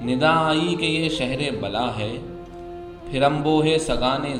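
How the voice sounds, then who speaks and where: Music can be heard behind the speaker. He is a man with a medium-pitched voice. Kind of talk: poetry reading. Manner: measured pacing, nuanced.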